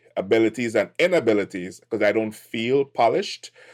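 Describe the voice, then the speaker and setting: This is a man with a Trinidadian accent. His voice has a fairly low pitch. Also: very clean recording, silent background. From Trinidad and Tobago. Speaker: tech entrepreneur. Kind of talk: podcast interview.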